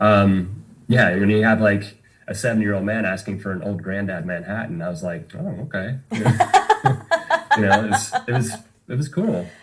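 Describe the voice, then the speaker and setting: Music plays in the background as someone speaks with a slight Southern US accent. The pace is moderate, and the pitch varies in an ordinary way. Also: man, fairly low pitch for a man. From Tennessee, Knoxville area. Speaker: bartender and musician. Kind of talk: podcast interview. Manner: casual, many fillers.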